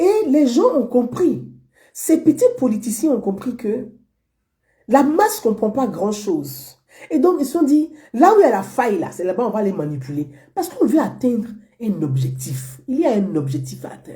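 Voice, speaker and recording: A woman's fairly high-pitched voice with a dark, mellow tone, vocal fry, very wide pitch swings, and long, frequent pauses. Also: moderate pace. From Côte d'Ivoire, Abobo (Abidjan). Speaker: online political commentator. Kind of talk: monologue commentary to viewers.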